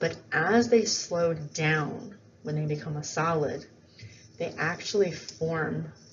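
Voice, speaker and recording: This woman's very deep, low voice sounds somewhat breathy against audible room echo. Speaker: biology teacher. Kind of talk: lecture. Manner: casual with fillers.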